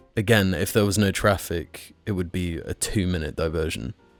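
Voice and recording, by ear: A man speaks at a moderate pace. Behind him, there is music in the background.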